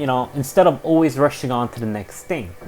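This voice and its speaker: Music plays in the background as a man talks with a relaxed tone. His pitch is medium, and his intonation is lively. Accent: Irish. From Ireland. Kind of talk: casual podcast monologue. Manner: relaxed, conversational.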